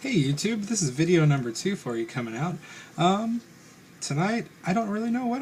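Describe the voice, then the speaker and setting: Somewhat breathy, a man races along at a very fast pace with lively intonation. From Northern Kentucky, Carroll and Owen counties. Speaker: vlogger. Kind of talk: personal vlog monologue. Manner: hesitant, many fillers.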